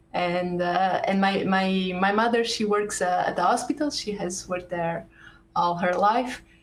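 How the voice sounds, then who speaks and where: A woman's medium-pitched voice with a Portuguese accent, at a fairly slow pace. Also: ordinary pitch variation. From Portugal, Porto. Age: 30s. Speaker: computer science professor. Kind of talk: interview. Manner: hesitant, many fillers.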